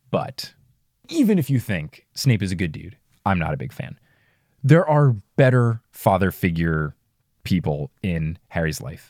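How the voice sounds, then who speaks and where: A man with an American accent speaks at a fairly slow pace in a very deep, low pitch, his voice swinging very widely in pitch. Long pauses come often, and the sound is dry and close with no echo. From US, New Jersey. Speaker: podcast host reading a book series for the first time. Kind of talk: casual chat and book recap.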